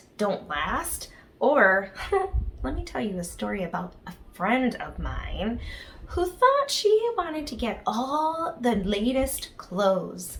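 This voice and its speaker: Very slowly, a woman speaks with very wide pitch swings over noticeable background noise. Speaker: children's ministry leader. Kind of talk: children's devotional talk. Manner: soft-spoken.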